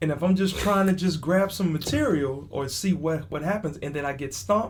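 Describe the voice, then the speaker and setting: Talking at a fairly quick pace and fairly high pitch, a man with an American accent is heard with audible room echo. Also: lively intonation. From Texas. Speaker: comedian. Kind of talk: casual chat. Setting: on a cruise ship.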